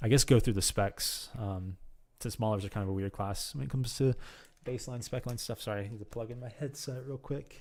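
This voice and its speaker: A man talks at a fairly quick pace with ordinary pitch variation. His loudness swings a lot. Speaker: gaming video creator; game streamer. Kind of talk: tutorial. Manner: fast; hesitant, many fillers. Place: home room. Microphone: studio mic.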